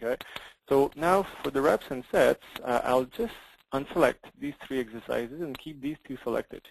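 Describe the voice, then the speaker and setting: With a French accent, a man of medium pitch speaks at a moderate pace with ordinary pitch variation, the sound dry and close with no echo. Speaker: software product demonstrator. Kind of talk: software demo in a webinar. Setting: webinar, online call. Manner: halting, many fillers and repeats.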